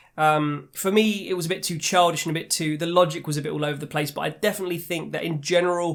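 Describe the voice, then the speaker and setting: Fairly high in pitch, a man with a British accent keeps a fairly even intonation in a very clean recording with a silent background. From England, London. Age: adult. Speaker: video game reviewer. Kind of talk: video review monologue. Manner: casual, with frequent fillers and repetitions.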